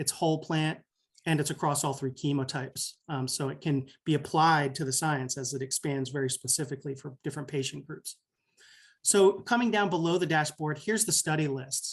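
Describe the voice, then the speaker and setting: Against a quiet background, a man with a fairly high, somewhat breathy voice speaks at a fairly quick pace with ordinary pitch variation. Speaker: physician presenter. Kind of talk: software demo presentation. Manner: fast.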